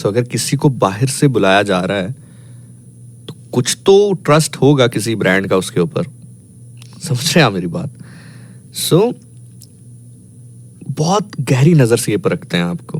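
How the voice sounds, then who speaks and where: A man speaks in a somewhat breathy voice with very wide pitch swings. He leaves long, frequent pauses. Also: medium pitch for a man. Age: 30s. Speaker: radio host. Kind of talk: casual chat.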